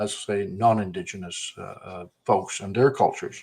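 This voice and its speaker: A man speaks with a slight Newfoundland accent. His fairly low voice moves at a moderate pace. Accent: slight Newfoundland twang. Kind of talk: casual chat. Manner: halting, many fillers.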